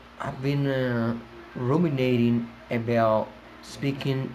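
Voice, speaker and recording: A man with a Colombian accent speaks at a medium pitch in a monotone, flat delivery. Noticeable background noise runs underneath. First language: Spanish. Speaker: English teacher. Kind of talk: casual talk to camera. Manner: hesitant, many fillers.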